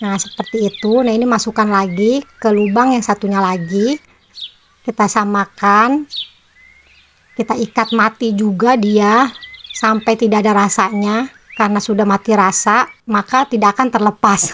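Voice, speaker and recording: A woman's fairly high voice at a moderate pace, with very even loudness, fairly even intonation and noticeable background noise. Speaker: crafts channel host. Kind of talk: tutorial. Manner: casual, chatty.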